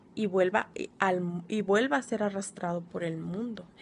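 The woman speaks fairly slowly, with light background noise behind her. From Mexico, Sonora (Altar); Sonora. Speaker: deliverance ministry trainee. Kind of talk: recorded homework presentation. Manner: hesitant, many filler sounds. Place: home room. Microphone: phone near.

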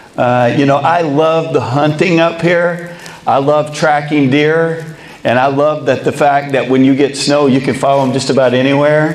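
In a room with audible echo, a man talks in a monotone, flat intonation at a very even loudness. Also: moderate pace. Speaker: speaker, baseball coach. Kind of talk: motivational talk. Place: hall. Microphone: lapel.

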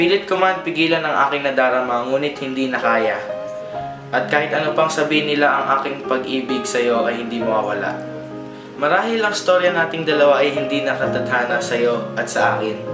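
A man at a fairly quick pace with clear music in the background. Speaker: student poet. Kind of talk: spoken word poetry. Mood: melancholic, heartfelt. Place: home room. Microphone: camera far.

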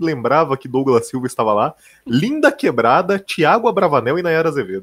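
A man talks at a fairly high pitch in a Brazilian accent, with very wide pitch swings. The background is quiet. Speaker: stream co-host. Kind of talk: casual live-stream reaction chat. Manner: sarcastic, opinionated. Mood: casual, opinionated. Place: home room. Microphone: headset.

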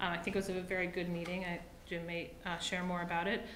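A woman talks at a fairly quick pace. Light background noise and audible room echo are present. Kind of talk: meeting report. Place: meeting room. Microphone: podium.

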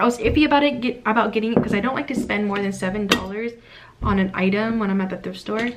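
Speech at a very fast pace with ordinary pitch variation, over noticeable background noise. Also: woman. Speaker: haul vlogger. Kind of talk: casual vlog chat. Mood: cheerful, excited. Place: home room. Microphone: phone near.

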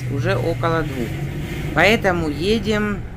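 Over noticeable background noise, the words come at a very slow pace. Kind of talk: casual vlog chat. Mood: relaxed, chatty. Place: car. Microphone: phone near.

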